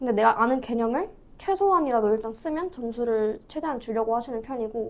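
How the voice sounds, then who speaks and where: At a moderate pace, a woman with an ordinary speaking voice talks at a fairly high pitch with lively intonation. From South Korea. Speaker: student. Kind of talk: interview.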